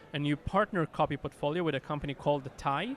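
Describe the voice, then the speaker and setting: Very fast and fairly high-pitched, a man speaks with a strong Israeli accent. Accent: Israeli accent, thick. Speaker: company executive. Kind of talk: interview. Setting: conference.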